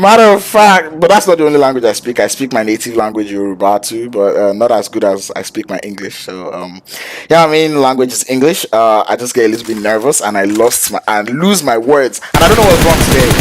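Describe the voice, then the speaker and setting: Over noticeable background noise, a man at medium pitch talks at a fairly quick pace with hardly any pauses and very wide pitch swings. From Nigeria. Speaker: esports caster. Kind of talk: live commentary. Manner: fast.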